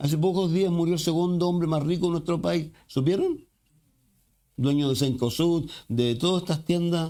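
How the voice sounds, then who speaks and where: Talking at a moderate pace in a Chilean accent, the speaker has a dark, mellow tone, very even loudness and fairly even intonation, recorded very cleanly over a silent background. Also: man, high pitch for a man. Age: 60s. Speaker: pastor. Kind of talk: sermon.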